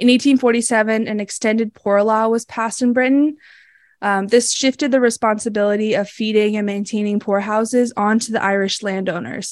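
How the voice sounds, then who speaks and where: In an American accent, a woman speaks at a fairly high pitch and a fairly quick pace. Her intonation stays fairly even. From US Northeast, Massachusetts. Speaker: podcast co-host. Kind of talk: storytelling narration; casual chat. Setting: video call.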